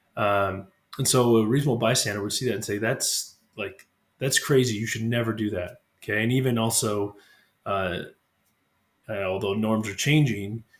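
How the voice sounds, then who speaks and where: In a very clean recording with a silent background, a man speaks at a fairly quick pace and medium pitch, somewhat breathy, with fairly even intonation and long, frequent pauses. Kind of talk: religious reflection talk to camera. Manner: hesitant, unscripted.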